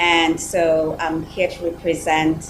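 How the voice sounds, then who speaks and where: A woman is speaking amid noticeable background noise. The room echo is audible. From Kenya. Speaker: panelist, supporter of Haiti. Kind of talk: virtual panel discussion. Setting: video call.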